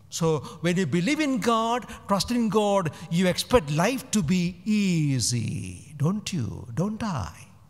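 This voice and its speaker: This man has a high pitch with very wide pitch swings. He speaks at a very slow pace. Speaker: priest. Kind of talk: homily. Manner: rhetorical, emphatic, repeating words for effect. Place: church. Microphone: podium.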